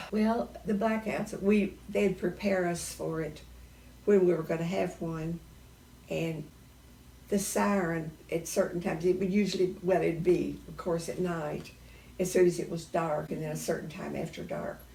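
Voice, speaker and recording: A woman speaks at a fairly low pitch with ordinary pitch variation. Her tone is dark and mellow, with vocal fry. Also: moderate pace. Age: 80s+. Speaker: World War II era witness. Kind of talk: interview answer.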